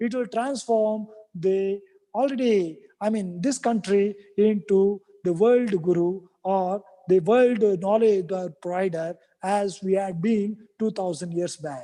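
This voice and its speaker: In a Kannada accent, the speaker talks at a very slow pace. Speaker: academic speaker at university event. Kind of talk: formal speech. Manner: halting.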